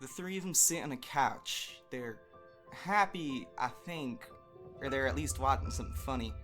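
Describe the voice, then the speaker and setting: There is music in the background as a man speaks. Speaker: audio drama reader. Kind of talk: narration read of fan fiction, dramatic.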